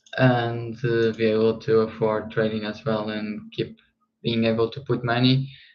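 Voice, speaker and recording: Speaking with a non-native accent, a man talks at medium pitch and a fairly slow pace in a monotone, flat intonation. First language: not English. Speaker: trading streamer. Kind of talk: casual live stream chat. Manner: halting, frequent fillers and repeats.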